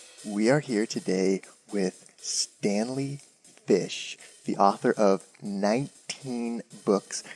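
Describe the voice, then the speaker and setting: Over music in the background, a man speaks at a very slow pace and a fairly low pitch, with ordinary pitch variation and a dry, close sound with no echo. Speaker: podcast host. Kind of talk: podcast interview questions.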